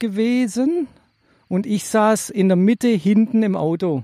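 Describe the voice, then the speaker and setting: At a very slow pace, a man speaks in a dark, mellow tone at a high pitch, with ordinary pitch variation and a dry, close sound with no echo. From Stuttgart-Bad Cannstatt, Swabia. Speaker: podcast co-host. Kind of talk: casual chat.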